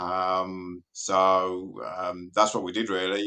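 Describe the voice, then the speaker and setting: Against a quiet background, a man with a British accent talks in a bright, sharp tone. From UK. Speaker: race car driver and car enthusiast. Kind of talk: casual interview.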